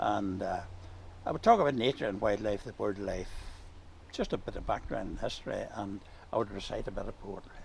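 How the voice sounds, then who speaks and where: A man with a Northern Irish accent talks at a moderate pace. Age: 80s+. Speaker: farmer and retired teacher. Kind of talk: casual chat.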